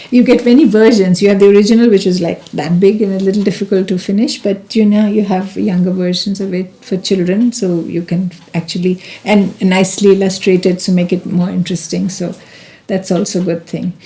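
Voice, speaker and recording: Over noticeable background noise, a woman of medium pitch talks fairly quickly with fairly even intonation. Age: 70s. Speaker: spiritual elder. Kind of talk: casual chat.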